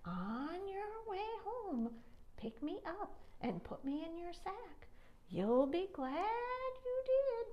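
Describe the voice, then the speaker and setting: Using a put-on character voice at extremely high pitch, a woman speaks at a very slow pace with long, frequent pauses. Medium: read story. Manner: insistent, knowing.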